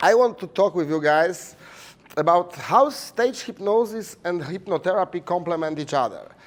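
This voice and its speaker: With a Polish accent, a man speaks at a high pitch and a moderate pace, his intonation lively. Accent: Polish accent, noticeably foreign. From Poland. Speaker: hypnotherapy teacher and stage hypnotist. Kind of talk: conference presentation. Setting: conference room with audience. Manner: hesitant, many fillers.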